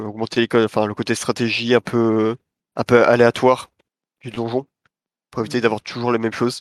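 At a fairly quick pace, a man speaks in a flat monotone at a medium pitch, with long, frequent pauses. The recording is very clean and silent behind him, dry and close with no echo. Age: 20s. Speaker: indie game developer. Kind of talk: interview. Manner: hesitant, many fillers.

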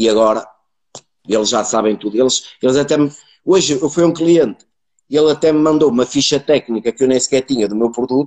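A man with an unremarkable speaking voice talks at a fairly quick pace, medium in pitch with ordinary pitch variation. The sound is dry and close, with no echo. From northern Portugal, Braga area. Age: 40s. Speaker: sales professional. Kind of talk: casual interview chat. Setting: video call livestream.

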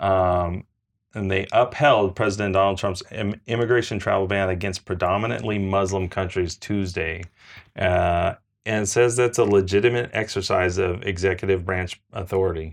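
A man's ordinary speaking voice, fairly low in pitch, at a moderate pace with fairly even intonation against a quiet background. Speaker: podcast co-host. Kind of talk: casual chat with news reading. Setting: on location in Chicago.

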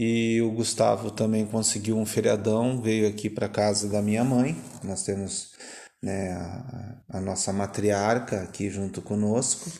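At a fairly slow pace, a man speaks in a dark, mellow tone with fairly low pitch and fairly even intonation. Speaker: podcast host. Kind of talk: casual chat. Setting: home.

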